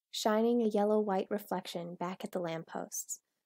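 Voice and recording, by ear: With a quiet background behind it, a natural voice reads aloud.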